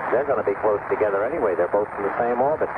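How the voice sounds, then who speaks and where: A man speaks at a fairly low pitch. Noticeable background noise can be heard. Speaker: radio news commentator. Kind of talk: live space mission news coverage.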